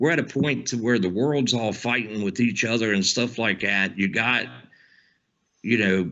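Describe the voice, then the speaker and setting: Here a man speaks in a Southern US accent. His pitch is medium and his pace moderate. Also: ordinary pitch variation, very even loudness. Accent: Southern twang. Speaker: podcast co-host. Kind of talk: casual chat. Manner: animated.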